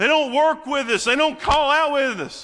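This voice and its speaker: The voice is raised and projected, keeping a moderate pace. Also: man. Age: 30s. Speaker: preacher. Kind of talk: sermon.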